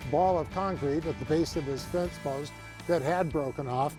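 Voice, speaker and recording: Backed by music, a man speaks with lively intonation. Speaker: co-inventor of a fence bracket. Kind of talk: interview answer.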